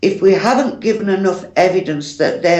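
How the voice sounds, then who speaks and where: A woman talks with a British accent in a medium pitch. She speaks at a fairly slow pace. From United Kingdom. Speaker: psychic medium. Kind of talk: interview answer.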